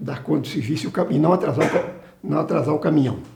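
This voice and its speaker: A man with a fairly high-pitched voice talks in a room with audible echo. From Brazil, Minas Gerais (Carangola). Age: 70s. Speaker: retired salesman and company employee. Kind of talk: oral history interview. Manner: halting, with frequent restarts.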